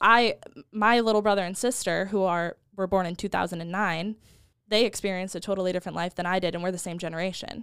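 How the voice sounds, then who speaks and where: Over a very clean recording with a silent background, a woman at medium pitch talks at a very fast pace with fairly even intonation. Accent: American. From United States. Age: 20s. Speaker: marketing and social media worker. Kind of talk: casual chat.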